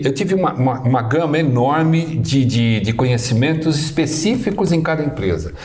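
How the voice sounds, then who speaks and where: Lively intonation marks this man's speech, heard over noticeable background noise with audible room echo. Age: 60s. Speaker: administrator, alumnus guest. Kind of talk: podcast interview, casual chat. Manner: halting, repeats words.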